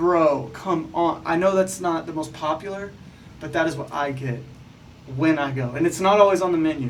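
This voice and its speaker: An animated man with an American accent talks at a moderate pace in a fairly high pitch with ordinary pitch variation. Noticeable background noise is present. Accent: southern, played down. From Texas small town. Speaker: podcast co-host. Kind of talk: casual chat.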